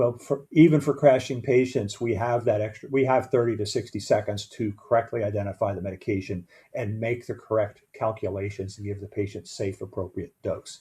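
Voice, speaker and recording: A man talks at a fairly quick pace with hardly any pauses, medium pitch and ordinary pitch variation. His tone is dark and mellow, and somewhat breathy. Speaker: EMS medical director or educator. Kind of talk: training lecture.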